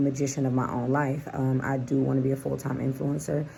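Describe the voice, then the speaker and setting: A woman's very deep, low voice at a fairly quick pace, with audible room echo. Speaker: lifestyle vlogger and psychic reader. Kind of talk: casual vlog monologue.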